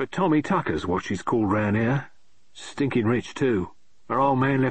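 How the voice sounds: Delivered in a natural reading voice, the speech shows ordinary pitch variation.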